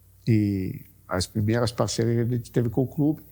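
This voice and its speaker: The recording is very clean, with a silent background. A man speaks in a dark, mellow tone that is somewhat breathy. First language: Italian (speaking Portuguese). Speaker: sportswear business executive. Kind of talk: interview. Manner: halting.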